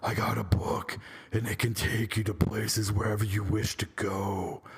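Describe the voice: Over light background noise, a man uses a raspy, put-on character voice, fairly low in pitch, delivered at a moderate pace with monotone, flat intonation.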